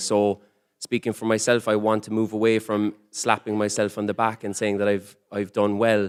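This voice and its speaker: On a very clean recording with a silent background and a dry, close sound with no echo, a man with an Irish accent speaks fairly quickly in a monotone, flat intonation at a fairly low pitch. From Ireland. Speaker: comedian. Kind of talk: panel discussion. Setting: conference stage with audience. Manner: fast.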